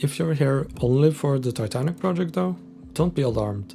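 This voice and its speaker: A man with a strong Scandinavian accent talks at a moderate pace. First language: Scandinavian language. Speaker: indie game developer. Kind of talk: scripted devlog narration.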